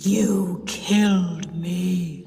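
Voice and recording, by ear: A female-sounding voice puts on a character voice at medium pitch. Clear background noise and a slight echo surround it.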